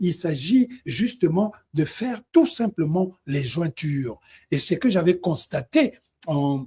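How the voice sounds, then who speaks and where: In a Congolese accent, a man speaks in a high voice. His pace is very slow. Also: lively intonation. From DR Congo. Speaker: music commentator, live streamer. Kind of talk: live stream Q&A. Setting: online live stream.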